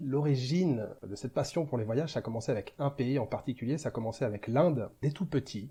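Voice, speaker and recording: A man's somewhat breathy voice at a medium pitch, dark and mellow in tone, with ordinary pitch variation and a fairly quick pace. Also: quiet background. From western France, Angers (Maine-et-Loire). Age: 40s. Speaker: travel vlogger. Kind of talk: interview.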